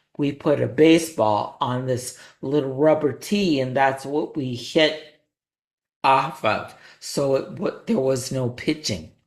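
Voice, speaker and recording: Very slow in pace, a man talks at a medium pitch. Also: ordinary pitch variation. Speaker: podcast host. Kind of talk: personal story.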